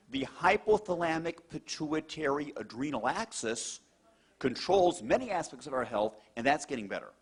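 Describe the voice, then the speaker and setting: Delivered at a moderate pace, the speech has an animated tone and very wide pitch swings. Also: man, fairly high pitch for a man. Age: middle-aged. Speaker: cardiologist. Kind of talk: testimonial talk to an audience.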